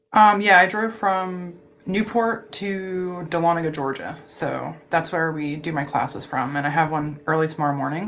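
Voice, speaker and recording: Here is an ordinary speaking voice from a woman with an American accent. Her pitch is fairly low with ordinary variation, and her pace is moderate. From Philadelphia. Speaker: distiller and teacher. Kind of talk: casual chat.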